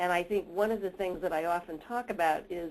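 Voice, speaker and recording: A woman with an American accent and a normal speaking voice talks at a moderate pace, her fairly low pitch carrying fairly even intonation. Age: 60s. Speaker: researcher and mentoring expert. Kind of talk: webinar presentation.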